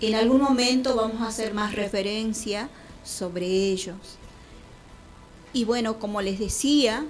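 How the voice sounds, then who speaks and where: With music in the background and audible room echo, a woman speaks at a fairly high pitch and a fairly slow pace, with fairly even intonation and long, frequent pauses. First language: Quechua (speaking Spanish). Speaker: radio host. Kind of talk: radio show, greetings.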